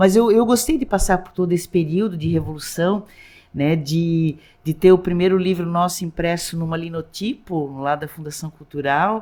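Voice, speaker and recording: A woman's fairly low voice with a dark, mellow tone, ordinary pitch variation and a moderate pace. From Blumenau, Santa Catarina, southern Brazil. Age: 60s. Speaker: lawyer and social activist. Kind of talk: interview conversation. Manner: animated, halting with many restarts.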